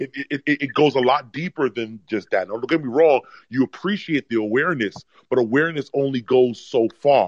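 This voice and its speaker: A man with an American accent speaks at a moderate pace and medium pitch in a plain, everyday voice. The sound is dry and close, with no echo. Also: ordinary pitch variation. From New York. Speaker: caller. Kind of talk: casual chat.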